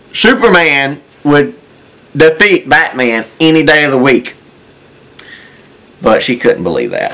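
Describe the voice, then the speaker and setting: A man's fairly high voice at a fairly slow pace, broken by long, frequent pauses, with noticeable background noise. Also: lively intonation. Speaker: groom. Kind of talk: interview to camera.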